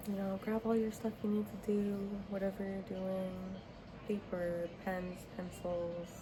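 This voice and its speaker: Soft-spoken and monotone, a woman with medium pitch talks at a very slow pace over noticeable background noise. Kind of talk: casual talk to camera. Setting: home with background TV and heater hum. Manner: soft-spoken, chatty.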